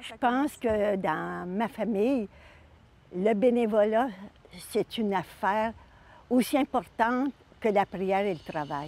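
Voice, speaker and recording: A woman speaks very slowly, leaving long, frequent pauses. Her pitch is fairly high, with ordinary variation. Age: 80s+. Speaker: senior volunteer. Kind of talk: testimony.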